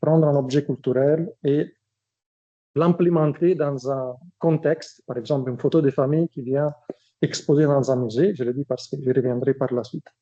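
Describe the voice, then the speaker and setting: A man with an Italian accent speaks at a fairly high pitch and moderate pace, with ordinary pitch variation. His tone is dark and mellow, and the sound is dry and close with no echo. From Italy. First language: Italian (speaking French). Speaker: academic researcher. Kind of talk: lecture. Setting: seminar with audience. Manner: hesitant, many fillers.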